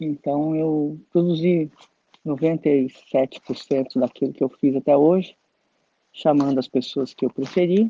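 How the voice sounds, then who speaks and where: A woman talks at a very slow pace, her pitch very deep and low and her tone dark and mellow. Her intonation stays fairly even, and the sound is dry and close with no echo. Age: 60s. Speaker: flutist and composer. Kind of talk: interview testimony.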